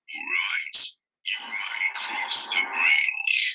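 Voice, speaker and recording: The speaker puts on a character voice at an extremely high pitch. The sound is raspy. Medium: read story. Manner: menacing.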